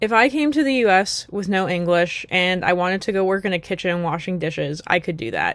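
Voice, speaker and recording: With hardly any pauses, a woman talks at a medium pitch in an unremarkable speaking voice. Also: fairly quick pace, very clean recording, silent background. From United States. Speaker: YouTuber. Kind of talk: casual vlog monologue. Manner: conversational with frequent fillers.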